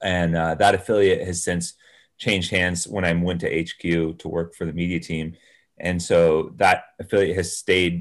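With an American accent, a man speaks in a very deep, low voice at a moderate pace. His intonation is monotone and flat, and the recording is very clean with a silent background. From California central coast (Salinas). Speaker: fitness podcast co-host and athlete. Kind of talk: casual interview chat.

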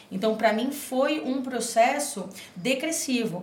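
Her intonation is lively. Noticeable background noise sits behind the woman's voice. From Rio Grande do Sul, Brazil. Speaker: nutrition guest. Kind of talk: casual chat. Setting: studio.

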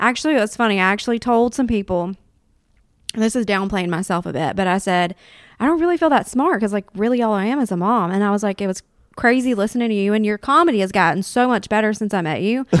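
A woman talks at a very fast pace with a medium pitch. Her intonation is lively, in a very clean recording with a silent background. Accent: Southern US. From US South. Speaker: comedian.

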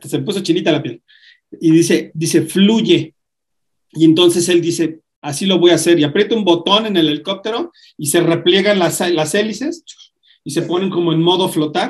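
A man speaks in a Mexican accent with a high pitch for a man. His pace is moderate and his intonation fairly even. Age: 40s. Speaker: podcast host, self-help author. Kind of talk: casual chat.

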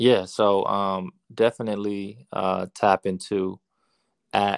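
This man's voice sits fairly low. The recording is very clean with a silent background, and the sound is dry and close with no echo. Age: 30s. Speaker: real estate investor. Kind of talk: casual chat.

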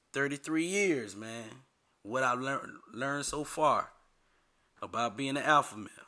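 Here a man speaks at a fairly high pitch in a bright, sharp tone, at a moderate pace with ordinary pitch variation. His loudness swings widely, and he leaves long, frequent pauses. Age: 30s. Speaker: podcast host. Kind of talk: solo podcast monologue. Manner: casual, conversational.

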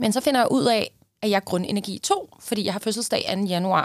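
Her voice is an unremarkable speaking voice, fairly high for a woman, with ordinary pitch variation. The recording is very clean with a silent background. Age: 30s. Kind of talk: casual chat.

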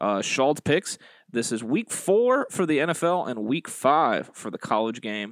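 Lively intonation from a man at a moderate pace, in a very clean recording with a silent background and a dry, close sound with no echo. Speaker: podcast host, sports betting picks. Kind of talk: casual chat. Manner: animated.

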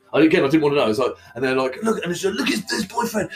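A man's speech comes with noticeable background noise around it. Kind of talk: casual chat. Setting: studio. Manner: loud.

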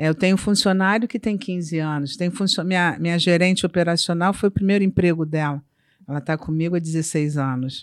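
Recorded very cleanly against a silent background, a woman speaks in an ordinary speaking voice, fairly low in pitch, at a moderate pace with ordinary pitch variation. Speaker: insurance broker. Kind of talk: casual interview.

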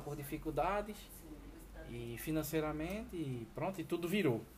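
A man is speaking. His pace is moderate. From Brazil, Pernambuco (Recife/Olinda). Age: 30s. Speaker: truck driver. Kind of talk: interview. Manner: halting.

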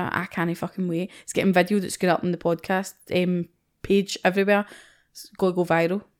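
A woman's animated, medium-pitched voice in a Scottish accent, at a moderate pace, on a very clean recording with a silent background. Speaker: podcast co-host. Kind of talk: casual chat.

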